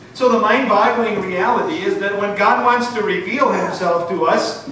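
Light background noise and audible room echo surround a man speaking at a high pitch with ordinary pitch variation. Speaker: preacher. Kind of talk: sermon. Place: church.

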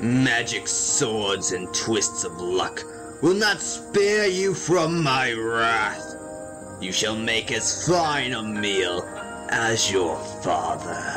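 Over loud background music, a man puts on a character voice and speaks at a very slow pace. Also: medium pitch for a man. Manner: menacing, gloating.

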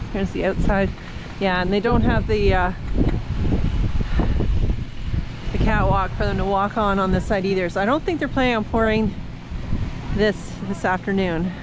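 Long, frequent pauses at a moderate pace, with noticeable background noise and a dry sound free of echo. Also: woman. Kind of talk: casual vlog chat. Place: farm machine. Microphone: phone near.

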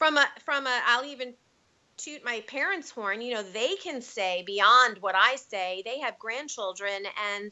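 Speaking fairly slowly in a high voice, a woman uses lively intonation and big swings in loudness. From New York (Bronx, then Long Island). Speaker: acting coach and producer. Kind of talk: interview.

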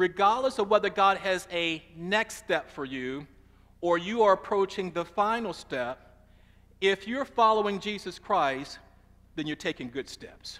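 The man's pitch is high. He speaks at a fairly slow pace. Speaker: preacher. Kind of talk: sermon. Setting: church. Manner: call-and-response, rhythmic, emphatic preaching cadence; warm, conversational, teacherly, repeating key lines. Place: church.

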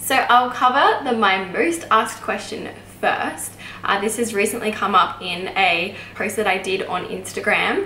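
A fairly slow pace with ordinary pitch variation, audible room echo and light background noise. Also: woman. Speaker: YouTuber, midwife and new mother. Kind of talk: vlog Q&A monologue. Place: home room.

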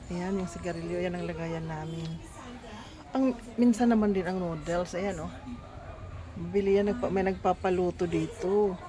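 A woman's medium-pitched voice at a moderate pace, fairly even in intonation, with long, frequent pauses, audible room echo and crowd noise in the background. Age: 60s. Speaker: vlogger. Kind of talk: casual vlog.

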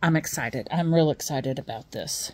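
A woman speaks in a very deep, low voice with ordinary pitch variation. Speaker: new vlogger. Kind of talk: casual vlog chat. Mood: excited, a bit nervous. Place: home room. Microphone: phone near.

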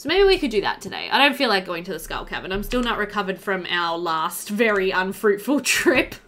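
A woman talks at a fairly quick pace with big pitch swings. Her tone is fairly bright. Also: medium pitch for a woman.

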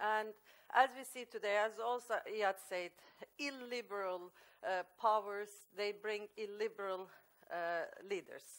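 A woman with a Norwegian accent, fairly slow and fairly even in intonation, with long, frequent pauses, big swings in loudness, and a quiet background. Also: fairly high pitch for a woman. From Norway. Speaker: author. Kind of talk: panel talk. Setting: stage with audience. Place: meeting room.

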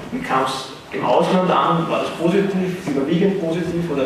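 Strong room echo and noticeable background noise surround a man speaking. His voice is fairly high, with ordinary pitch variation. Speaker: moderator. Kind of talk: panel moderation. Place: hall. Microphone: pa.

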